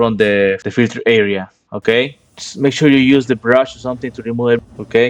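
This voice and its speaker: Against a quiet background, a man with a Spanish accent talks at a moderate pace and a medium pitch. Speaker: HVAC and appliance repair technician. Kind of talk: tutorial. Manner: halting.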